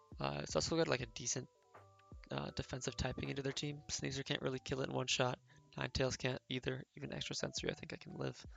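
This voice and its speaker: Against music in the background, a man speaks at a very fast pace. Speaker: competitive Pokemon player. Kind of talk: gameplay commentary. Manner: casual, with fillers.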